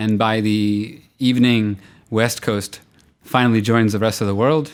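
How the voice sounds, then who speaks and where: On a very clean recording with a silent background, a man with an American accent uses a normal speaking voice at a medium pitch, with ordinary pitch variation, very even loudness and a moderate pace. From US, central New Jersey. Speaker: tech entrepreneur. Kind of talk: interview.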